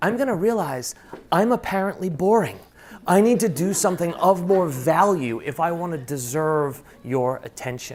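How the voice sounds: At a moderate pace with few pauses, a man speaks in a fairly high pitch, with lively intonation and a slightly mellow tone.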